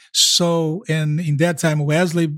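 A man is speaking with a Brazilian accent. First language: Portuguese. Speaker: pastor and ministry coordinator. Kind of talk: interview conversation. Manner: halting.

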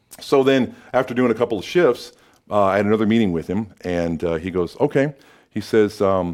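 In an American accent, a man with a fairly low pitch talks with lively intonation in an ordinary speaking voice. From Quad Cities, Illinois/Iowa, US Midwest. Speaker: radio announcer. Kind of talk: casual interview chat.

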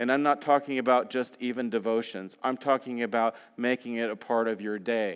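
On a very clean recording with a silent background, a man has an ordinary speaking voice at medium pitch with ordinary pitch variation. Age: 50s. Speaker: guest preacher. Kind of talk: sermon. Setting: church.

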